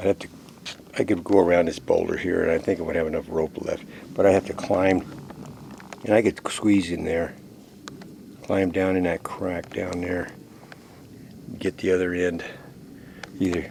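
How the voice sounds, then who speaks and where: A man speaks in a very deep, low voice at a moderate pace, monotone and flat, with long, frequent pauses. Noticeable background noise is present. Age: 60s. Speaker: outdoor video diarist. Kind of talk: casual self-narration. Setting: outdoors. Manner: halting.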